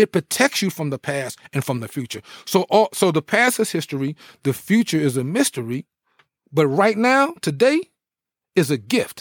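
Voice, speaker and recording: A man speaks with an American accent at a fairly high pitch, his voice making very wide pitch swings. The recording is very clean with a silent background and a dry, close sound with no echo. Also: moderate pace. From New Jersey. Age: 50s. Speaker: former pro football player. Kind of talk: interview conversation.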